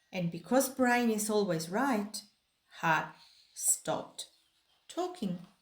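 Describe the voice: A woman speaks at a medium pitch and a slow pace. Her intonation is lively.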